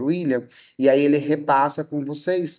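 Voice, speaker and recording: At a moderate pace, a man talks with fairly even intonation in an unremarkable speaking voice. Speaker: history and sociology teacher, lecturer. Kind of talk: online lecture to students.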